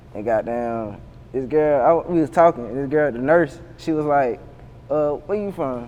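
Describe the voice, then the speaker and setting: A man in a Savannah accent, fairly high in pitch. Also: ordinary pitch variation, moderate pace. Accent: Savannah southern accent, Geechee-tinged. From US South, Savannah, Georgia. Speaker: rapper. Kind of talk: casual interview. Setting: sit-down interview. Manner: halting, repetitive.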